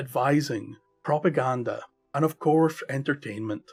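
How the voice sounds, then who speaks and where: Music plays behind a man with a Scottish accent and a fairly high pitch. He speaks at a moderate pace with lively intonation. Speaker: storyteller. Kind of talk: folk tale narration.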